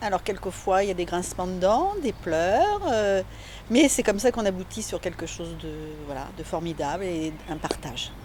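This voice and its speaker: A woman keeps a moderate pace, with noticeable background noise audible throughout. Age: 60s. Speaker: amateur actor. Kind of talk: interview.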